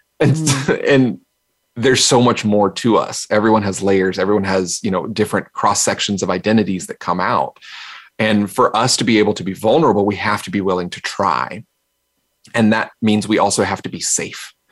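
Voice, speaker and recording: An unremarkable speaking voice, this man's has an American accent, a fairly low pitch, ordinary pitch variation and a moderate pace. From US South, North Carolina. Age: 40s. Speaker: keynote speaker. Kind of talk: interview conversation.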